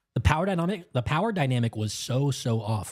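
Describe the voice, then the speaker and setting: There is music in the background. A man of medium pitch speaks in an animated tone. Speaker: live stream film reviewer. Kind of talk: live stream review commentary. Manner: casual, animated.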